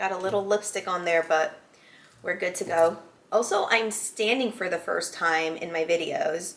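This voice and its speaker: A woman speaks at a medium pitch and a moderate pace. Her intonation is fairly even, and background noise is noticeable. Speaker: whiskey reviewer. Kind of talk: reading aloud; casual product review. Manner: casual, hesitant with fillers.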